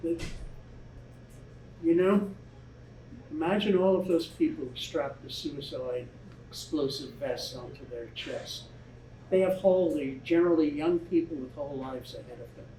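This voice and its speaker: A man with a high pitch and ordinary pitch variation speaks with long, frequent pauses and big swings in loudness. Audible room echo surrounds the voice. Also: moderate pace. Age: 70s. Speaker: author. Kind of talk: audience Q&A. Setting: bookstore event with live audience. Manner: halting, repeats words.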